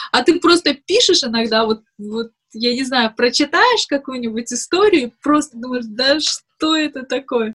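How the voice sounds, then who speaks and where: High-pitched woman with lively intonation, in a dry, close sound with no echo. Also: fairly slow pace. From Dagestan, Makhachkala. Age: 20s. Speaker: blogger and activist. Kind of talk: interview.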